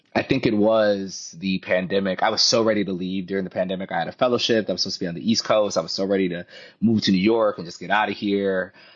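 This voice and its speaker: A man talks at a very fast pace with hardly any pauses. His voice is fairly low, with monotone, flat intonation. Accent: American. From US Midwest, Minnesota (St. Paul area). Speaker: poet. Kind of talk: interview conversation.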